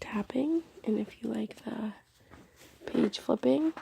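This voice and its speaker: Soft-spoken and at a very slow pace, a woman talks in a dry, close sound with no echo. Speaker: ASMR creator.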